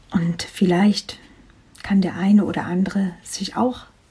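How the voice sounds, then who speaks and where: Very slow speech over noticeable background noise. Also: woman. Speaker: life coach podcaster. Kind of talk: personal testimony monologue.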